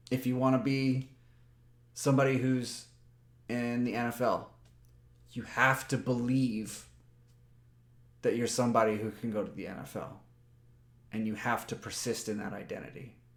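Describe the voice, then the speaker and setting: At a moderate pace broken by long, frequent pauses, a man speaks at medium pitch with monotone, flat intonation. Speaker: personal development vlogger. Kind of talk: motivational talk to camera. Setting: webcam recording. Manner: loud; halting, with repetitions.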